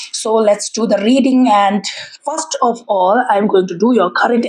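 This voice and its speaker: A woman's fairly high voice with lively intonation at a fairly slow pace, over noticeable background noise. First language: Tibetan. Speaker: tarot reader. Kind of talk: tarot reading. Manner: halting.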